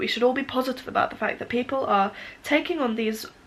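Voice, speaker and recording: A woman's high-pitched voice at a very fast pace amid noticeable background noise. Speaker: knitter and crafter. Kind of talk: casual talk to camera.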